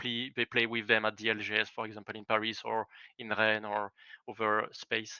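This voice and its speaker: The speaker talks with a French accent. The pace is fairly quick. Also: man. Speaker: esports team founder. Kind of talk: interview. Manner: halting, many fillers.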